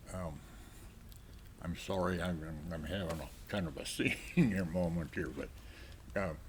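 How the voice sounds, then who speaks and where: With vocal fry and a very deep, low pitch, a man speaks at a fairly slow pace broken by long, frequent pauses. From South Dakota. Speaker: war veteran. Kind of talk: interview answer.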